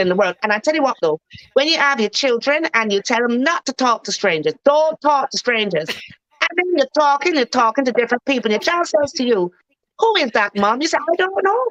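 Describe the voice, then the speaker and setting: A woman with a Barbadian accent talks at a fairly quick pace in a high pitch. Her pitch swings very widely, and the sound is dry and close with no echo. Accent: Bajan. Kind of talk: casual chat.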